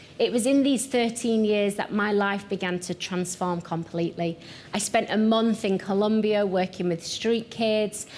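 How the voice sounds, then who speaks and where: With a strong Yorkshire accent, a woman at medium pitch speaks at a moderate pace and with fairly even intonation. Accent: thick Yorkshire. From Yorkshire, northern England. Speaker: pastor and missions founder. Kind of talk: televised teaching talk.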